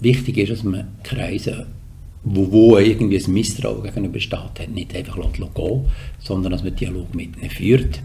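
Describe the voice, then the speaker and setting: Amid noticeable background noise and audible room echo, a man talks at a moderate pace in a fairly low pitch with ordinary pitch variation. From Switzerland, canton Solothurn. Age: 60s. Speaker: politician and communications executive. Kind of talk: podcast interview.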